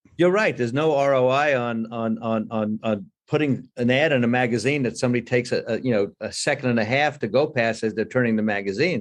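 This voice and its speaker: Against a quiet background, a man speaks at a fairly quick pace with hardly any pauses. His voice sits at a medium pitch with ordinary variation. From North Carolina. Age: 60s. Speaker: restaurateur. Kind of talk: interview. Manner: animated; repeats words.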